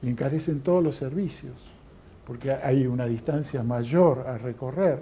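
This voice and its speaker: The voice is somewhat breathy with a dark, mellow tone and ordinary pitch variation. It moves at a moderate pace, with audible room echo. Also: man. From Argentina. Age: 60s. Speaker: lecturer. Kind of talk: lecture. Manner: hesitant, many fillers.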